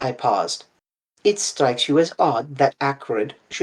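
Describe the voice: Against a quiet background comes some plain reading aloud.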